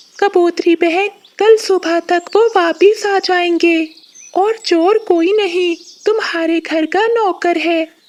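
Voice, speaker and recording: An extremely high-pitched cartoonish character voice speaks at a fairly slow pace in a gentle tone. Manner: gentle, earnest.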